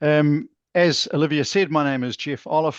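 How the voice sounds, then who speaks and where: This man has a New Zealand accent and a fairly high voice. His intonation stays fairly even. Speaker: channel partnerships manager. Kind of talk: webinar presentation. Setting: video call.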